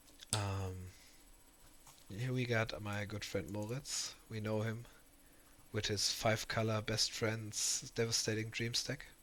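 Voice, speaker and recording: Very slow and fairly low, a man speaks with fairly even intonation. Long, frequent pauses break up his speech. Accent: German. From Germany. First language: German. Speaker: streamer and card game commentator. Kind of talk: casual livestream recap. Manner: halting, many repetitions and fillers.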